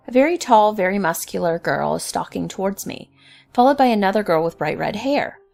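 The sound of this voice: The speaker reads in an unforced reading voice, the intonation lively.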